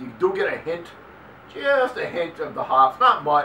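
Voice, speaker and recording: A man with a Boston accent over noticeable background noise. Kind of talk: casual beer review talk to camera. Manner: casual, halting.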